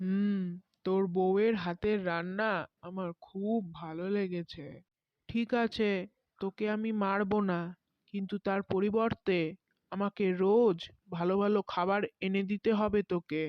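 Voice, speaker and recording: Gruff and female-sounding, this put-on character voice sits at a medium pitch for a woman and moves at a fairly slow pace. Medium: cartoon. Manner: gruff, blunt, addresses man with familiar "tui".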